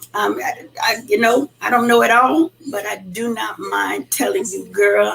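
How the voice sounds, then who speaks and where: A woman is speaking. Noticeable background noise accompanies her voice. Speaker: podcast host. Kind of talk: casual talk to listeners. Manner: animated.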